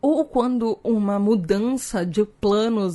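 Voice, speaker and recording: With noticeable background noise behind her, a woman speaks at a fairly high pitch in an animated tone with ordinary pitch variation. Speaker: podcast host. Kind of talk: educational podcast monologue.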